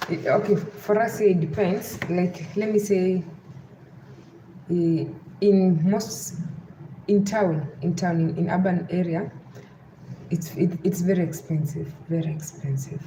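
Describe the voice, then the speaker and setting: Fairly low in pitch and with a western Kenyan accent, a woman speaks fairly slowly in fairly even intonation with long, frequent pauses and audible room echo. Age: 30s. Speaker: live streamer. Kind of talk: live stream chat. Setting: at home.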